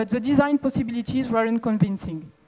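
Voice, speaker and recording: Her voice is fairly high-pitched with a dark, mellow tone, as this woman speaks in a French accent. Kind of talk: conference talk.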